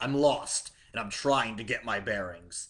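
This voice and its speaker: A gruff, growling man's voice at medium pitch, moderate in pace, with ordinary pitch variation. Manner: evasive, guarded.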